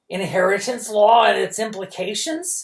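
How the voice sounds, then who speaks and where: Putting on a croaky character voice, a man speaks with a high pitch at a moderate pace. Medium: read story. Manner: menacing.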